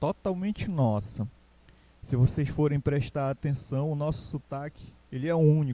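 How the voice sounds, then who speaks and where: Speaking very slowly with a Pará accent, a man uses a fairly high pitch and a dark, mellow tone. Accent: Paraense Brazilian Portuguese. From Pará, Brazil (Castanhal). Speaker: teacher. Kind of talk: online class lecture. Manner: casual, repetitive with fillers.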